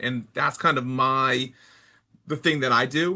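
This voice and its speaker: A man with an energetic tone talks at a moderate pace and a medium pitch over a quiet background. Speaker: sports sales director. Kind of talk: interview. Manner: loud.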